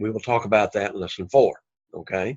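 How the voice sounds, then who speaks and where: Ordinary pitch variation marks this man's speech in an Alabama accent. The background is quiet. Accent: Southern US (Alabama). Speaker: Greek language teacher. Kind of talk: lecture. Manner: casual with frequent fillers.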